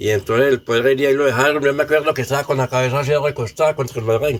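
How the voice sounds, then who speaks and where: A man talks at a very fast pace in a somewhat breathy voice. His loudness stays very even, and his intonation is fairly even. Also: fairly high pitch for a man. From Colombia, Samaná, Caldas. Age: 60s. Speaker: elderly villager sharing memories. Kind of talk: oral history testimony.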